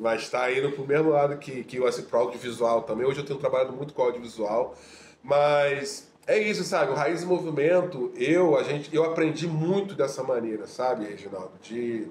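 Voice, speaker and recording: A man speaks at a moderate pace and ordinary pitch variation, with audible room echo and noticeable background noise around him. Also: fairly high pitch for a man. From Rio de Janeiro, Complexo do Alemão. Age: 40s. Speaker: audiovisual teacher and social activist. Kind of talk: casual interview chat.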